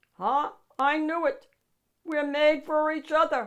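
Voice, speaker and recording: A put-on character voice, high-pitched and growling. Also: fairly slow pace. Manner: growling, playful.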